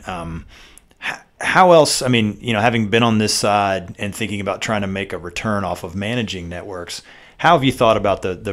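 A man speaks with a Southern US accent. His pitch is fairly low and his pace fairly quick. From US South. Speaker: podcast host. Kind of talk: casual podcast interview.

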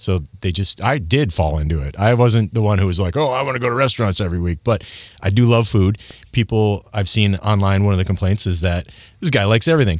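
The recording is very clean, with a silent background. A man with an American accent talks very fast at a fairly low pitch with ordinary variation. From Michigan. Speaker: TV news reporter and food feature host. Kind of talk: casual interview chat.

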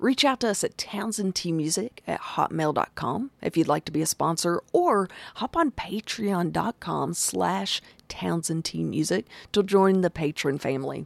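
A woman with a fairly low pitch and vocal fry talks at a fairly slow pace in an animated, upbeat tone with lively intonation. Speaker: podcast host. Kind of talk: casual interview chat.

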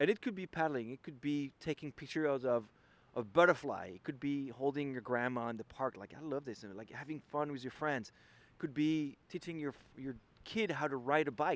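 In a French accent, a man speaks with a fairly high pitch and ordinary pitch variation at a moderate pace. His loudness swings widely. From France. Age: 40s. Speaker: ocean kayaker. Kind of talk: interview.

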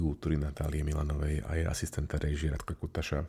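This man talks at a very fast pace. His recording is very clean, with a silent background. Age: old. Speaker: podcast co-host, media law commentator. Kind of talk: casual chat.

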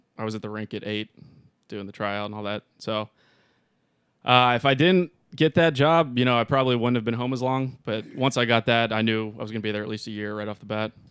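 The man has an unremarkable speaking voice at a medium pitch, moving at a fairly quick pace with ordinary pitch variation, the sound dry and close with no echo. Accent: American. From Pittsburgh, Pennsylvania. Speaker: wind tunnel instructor and skydiver. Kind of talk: casual interview chat.

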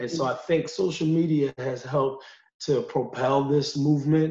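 A man with an American accent and a plain, everyday voice speaks at a fairly slow pace, his fairly high pitch held to a fairly even intonation. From US Northeast, Utica, New York. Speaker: college counselor and sociology adjunct. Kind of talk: casual discussion.

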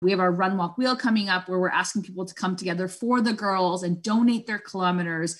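A woman speaks very fast at a medium pitch, with hardly any pauses. Her voice is somewhat breathy and her intonation fairly even. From Scarborough, Toronto, Ontario, Canada. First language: Spanish. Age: 30s. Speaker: charity program director and soccer coach. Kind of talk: interview conversation. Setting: video call.

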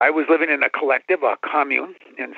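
A man talks at a moderate pace. He speaks with a Minnesota accent. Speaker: parade crew chief. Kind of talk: interview.

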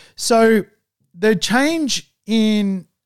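On a very clean recording with a silent background, a man with an Australian accent speaks with ordinary pitch variation. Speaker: property investment podcast host. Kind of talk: solo podcast monologue. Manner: slow, listeners advised to speed up.

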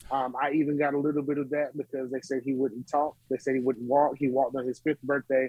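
At a fairly quick pace, a man with a fairly high pitch talks in a Southern US accent. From North Carolina (Smithfield). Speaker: gospel musician and author. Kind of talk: interview. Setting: remote virtual studio.

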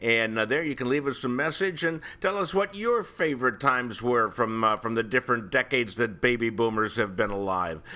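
A man with an American accent talks at a fairly quick pace with hardly any pauses, medium pitch, lively intonation and a bright, sharp tone on a very clean recording with a silent background. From Ohio. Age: 70s. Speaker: podcast host. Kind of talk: casual chat.

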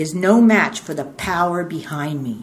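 Very wide pitch swings at a fairly slow pace, over noticeable background noise. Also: woman. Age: 70s. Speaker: twelve-step workshop speaker. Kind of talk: testimony. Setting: stage with audience. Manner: rambling storyteller.

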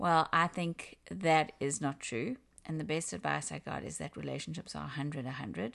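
A woman with a South African accent talks at a moderate pace against a quiet background. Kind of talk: casual interview on relationships and faith.

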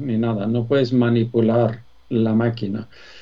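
Medium pitch from a man at a very slow pace, with noticeable background noise. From Sweden. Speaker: business executive. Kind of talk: interview. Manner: hesitant, many fillers.

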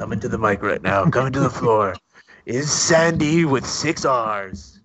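A man does a put-on character voice at medium pitch. His pace is moderate. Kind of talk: announcer, close-mic. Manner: smooth seductive.

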